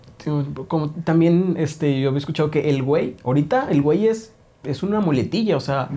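A man speaks at a moderate pace in a fairly high pitch, his tone dark and mellow and his pitch varying in an ordinary way. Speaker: podcast host. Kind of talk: casual chat.

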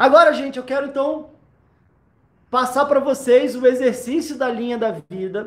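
This man's voice sits at an extremely high pitch, with fairly even intonation and big swings in loudness. He moves at a moderate pace, leaving long, frequent pauses. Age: 30s. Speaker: podcast host, anxiety coach. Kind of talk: tutorial; motivational talk.

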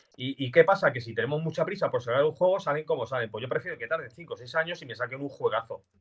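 Talking at a very fast pace with hardly any pauses, a man with a fairly high pitch and ordinary pitch variation makes big swings in loudness. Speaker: gaming podcast co-host. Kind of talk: casual chat.

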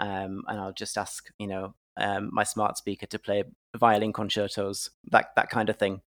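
Monotone, flat delivery from a man with a northeast English accent, big swings in loudness, in a very clean recording with a silent background. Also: fairly low pitch for a man, moderate pace, dry, close sound with no echo. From northeast England. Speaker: screenwriter and playwright. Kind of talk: interview. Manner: halting, many fillers.

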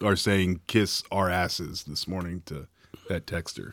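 With an Appalachian accent and a bright, sharp tone, the speaker talks at a fairly slow pace in a very clean recording over a silent background. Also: man. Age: 40s. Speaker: sports podcast co-host. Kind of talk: casual chat.

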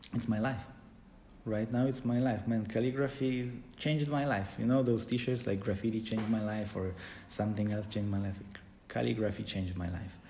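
A man with a medium-pitched, somewhat breathy voice and a dark, mellow tone speaks at a fairly quick pace. His intonation is fairly even, and room echo is audible. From Poland. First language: Polish. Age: 30s. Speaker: calligrapher. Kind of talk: casual interview.

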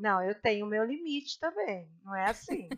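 Her tone is bright and sharp, recorded dry and close with no echo. The woman speaks at a moderate pace with lively intonation. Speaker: guest, host's mother. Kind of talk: casual chat.

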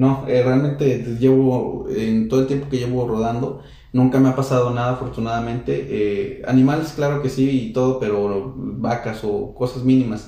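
A man speaks at a medium pitch and a moderate pace, with hardly any pauses. His intonation is fairly even, and audible room echo surrounds the voice. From central Mexico, San Luis Potosí. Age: 20s. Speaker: motorcycle traveler. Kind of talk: interview.

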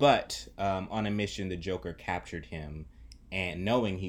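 With an American accent, a man with a very deep, low voice and vocal fry speaks at a fairly slow pace with lively intonation. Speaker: podcast host. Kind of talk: casual chat.

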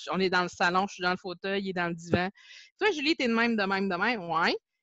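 Speaking in a Quebec accent, a woman with a medium-pitched voice moves at a fairly quick pace with lively intonation. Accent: Québécois French. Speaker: Facebook group administrator, teacher. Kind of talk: casual interview.

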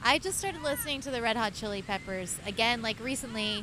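Very fast speech in an American accent, with noticeable background noise. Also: woman. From Oklahoma. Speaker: podcast guest. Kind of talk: casual chat. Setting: outdoors at the beach.

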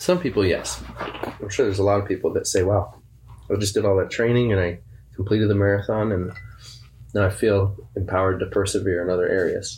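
Speaking in a normal speaking voice, a man with a fairly low pitch talks at a fairly quick pace with fairly even intonation. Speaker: church podcast co-host. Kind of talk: casual chat.

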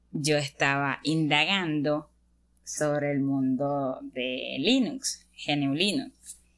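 Very slowly, a woman speaks with fairly even intonation. Her pitch is very deep and low. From Venezuela. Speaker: podcast co-host, engineering student. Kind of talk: casual chat. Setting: sitting on a bed at home.

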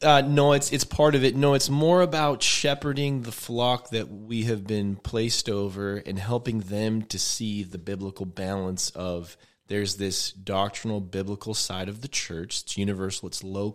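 This man has an ordinary speaking voice, fairly low in pitch, with ordinary pitch variation at a moderate pace. The recording is very clean, with a silent background. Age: 30s. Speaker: pastor. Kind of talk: casual chat.

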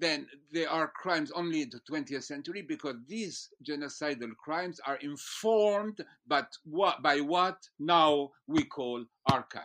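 Over a quiet background, a man talks in a bright, sharp tone at a fairly high pitch with ordinary pitch variation. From France. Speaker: philosopher. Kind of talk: interview. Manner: halting.

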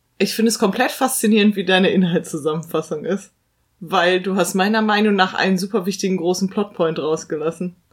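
A woman at a medium pitch with an ordinary speaking voice, fairly even intonation and a fairly quick pace. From Germany, big-city suburb. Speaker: film podcast co-host. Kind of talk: casual chat.

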